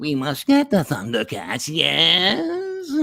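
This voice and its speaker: The delivery is at a very slow pace. It is a put-on character voice. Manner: sneaky, snivelling.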